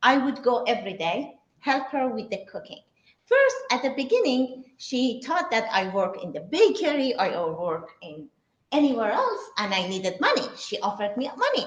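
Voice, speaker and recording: This speaker talks at a moderate pace with a Persian accent. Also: woman. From Iran, Shiraz. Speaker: cook and cooking teacher. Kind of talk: talk to a live audience. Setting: synagogue event with audience. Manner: halting.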